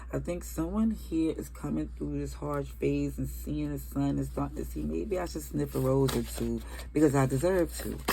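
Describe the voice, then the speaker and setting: A woman speaks in a very deep, low voice with monotone, flat intonation. Audible room echo and noticeable background noise surround her. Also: moderate pace, hardly any pauses. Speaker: tarot reader. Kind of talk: tarot reading. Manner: stumbling over words.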